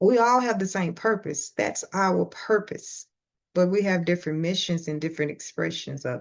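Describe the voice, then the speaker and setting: Her loudness swinging widely, a woman speaks at a fairly low pitch and moderate pace with ordinary pitch variation. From Louisiana. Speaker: spiritual podcaster. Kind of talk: casual monologue.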